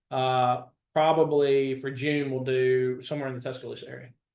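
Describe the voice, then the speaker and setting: The speaker is a man with an unremarkable speaking voice. His delivery is fairly quick. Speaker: state 911 program staff. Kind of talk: staff briefing in a webinar.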